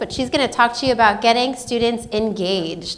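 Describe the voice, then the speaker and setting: Loud and very fast, the speech has ordinary pitch variation against noticeable background noise. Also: woman. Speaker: event organizer and educator. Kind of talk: event introduction.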